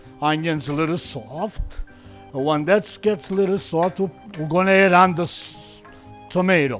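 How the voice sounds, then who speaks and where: A fairly high-pitched man with a Sicilian accent, fairly slow, energetic and playful in tone, with music in the background. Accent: Italian (Sicilian). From Sicily. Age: 70s. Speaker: chef, restaurant owner. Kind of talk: cooking demonstration. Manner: energetic, playful.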